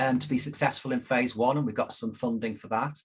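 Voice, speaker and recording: A somewhat breathy male voice at a fairly quick pace, with fairly even intonation. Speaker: director of a care app company presenting. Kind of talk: conference presentation. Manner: fast; hesitant, many fillers.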